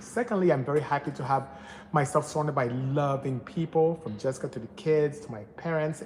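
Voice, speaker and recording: The speaker has a Nigerian accent. The pace is fairly quick. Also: man. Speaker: automotive engineer and tuning shop owner. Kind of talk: live stream Q&A with chat. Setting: workshop during live stream.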